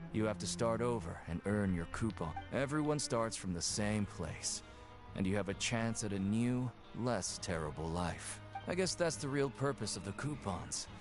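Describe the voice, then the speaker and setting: Against loud background music, a man puts on a gruff character voice at a fairly low pitch and a moderate pace. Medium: video game. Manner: curt, gruff.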